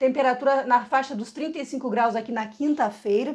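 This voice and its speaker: Against a quiet background, a woman with a high pitch talks at a moderate pace with fairly even intonation. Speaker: meteorologist presenter. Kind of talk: weather forecast presentation. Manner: informative, explanatory; fluent, with occasional hesitations and repeated words. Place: office. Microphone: phone near.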